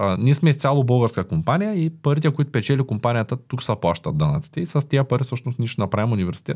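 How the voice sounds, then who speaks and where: Very fast, somewhat breathy speech from a man, with very wide pitch swings, hardly any pauses and a quiet background. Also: medium pitch for a man. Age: 30s. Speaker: entrepreneur. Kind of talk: interview.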